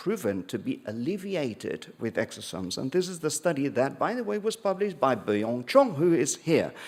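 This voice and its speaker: A man with a slight British accent and very wide pitch swings. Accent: slightly British. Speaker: dermatologist. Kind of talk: conference talk.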